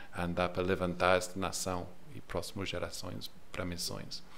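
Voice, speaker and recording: A man talks at a fairly slow pace in a room with audible echo. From England. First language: English (speaking Portuguese). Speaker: missionary leader. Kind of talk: podcast interview. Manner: halting, searching for words.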